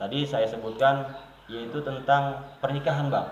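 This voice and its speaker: A man with a South Kalimantan accent speaks at a fairly slow pace with fairly even intonation, amid noticeable background noise and audible room echo. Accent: Banjar. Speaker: village official. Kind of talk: interview. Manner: halting.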